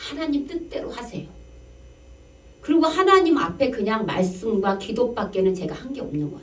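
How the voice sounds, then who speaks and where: Against noticeable background noise and audible room echo, a woman with a high pitch speaks at a moderate pace, her pitch swinging very widely. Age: 60s. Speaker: pastor. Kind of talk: sermon. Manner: conversational, rhetorical questions.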